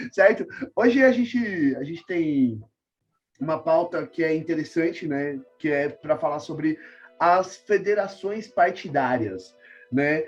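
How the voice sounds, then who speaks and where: The speaker goes along very slowly while music plays behind. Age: young. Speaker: podcast host. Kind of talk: casual political talk show.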